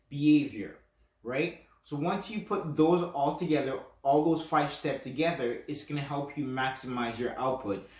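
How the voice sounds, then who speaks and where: Amid audible room echo, a man with a fairly high pitch and a somewhat breathy voice speaks at a fairly slow pace with ordinary pitch variation. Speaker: podcast host, self-hypnosis coach. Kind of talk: instructional podcast talk. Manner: casual, with fillers and restarts; stutters at times.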